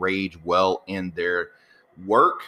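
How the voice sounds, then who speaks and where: A loud voice with a bright, sharp tone and an American accent, in a very clean recording with a silent background. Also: man. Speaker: podcast host, copywriter and acting coach. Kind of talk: solo podcast monologue.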